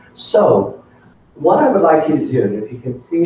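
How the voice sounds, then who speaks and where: A man speaks with audible room echo. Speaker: workshop presenter for teachers. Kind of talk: professional development workshop.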